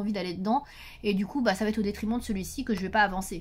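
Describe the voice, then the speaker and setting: Somewhat breathy, the speech races at a very fast pace with ordinary pitch variation. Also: woman. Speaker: YouTuber reviewing adult coloring books. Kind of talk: casual vlog talk to camera.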